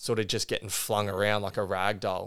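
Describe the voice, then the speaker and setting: In a very clean recording with a silent background, a man with an Australian accent keeps his intonation fairly even. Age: 30s. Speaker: former high jumper and teacher. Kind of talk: interview. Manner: halting.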